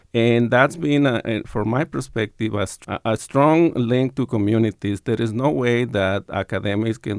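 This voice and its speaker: A man has an ordinary speaking voice, fairly low in pitch. He goes at a moderate pace. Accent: American. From Tucson, Arizona and Sonora, Mexico border region. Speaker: professor. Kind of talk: interview.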